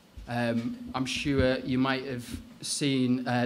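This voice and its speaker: This man's voice sits at a medium pitch with monotone, flat intonation, and audible room echo surrounds it. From Northeast England. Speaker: trade union officer. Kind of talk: lecture. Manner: hesitant with fillers.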